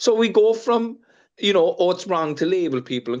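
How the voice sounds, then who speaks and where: Over a quiet background, a man speaks at a fairly quick pace with an Irish accent. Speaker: fishing industry representative. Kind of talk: panel discussion. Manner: animated.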